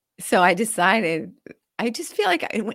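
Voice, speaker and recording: On a very clean recording with a silent background, a woman with an American accent speaks in very wide pitch swings. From New Hampshire, US. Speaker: real estate investor and coach. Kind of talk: interview. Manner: animated.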